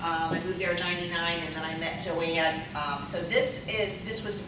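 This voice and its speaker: A woman's fairly low voice at a moderate pace with ordinary pitch variation, plus audible room echo and noticeable background noise. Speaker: prevention coalition speaker, former special ed teacher. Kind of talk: conference talk. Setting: stage with audience. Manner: loud; animated.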